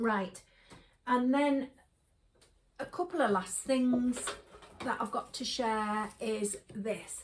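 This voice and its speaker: A woman with an English accent and a high pitch, at a very slow pace with long, frequent pauses and ordinary pitch variation. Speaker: shopping haul vlogger. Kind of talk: casual chat. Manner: casual, hesitant with fillers.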